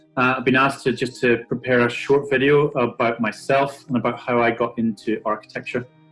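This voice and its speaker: Over music in the background, a man with a Northern Irish accent talks at a fairly quick pace with hardly any pauses, his medium-pitched voice monotone and flat in intonation and very even in loudness. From Northern Ireland. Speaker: architect. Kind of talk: career talk to camera. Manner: hesitant, many fillers.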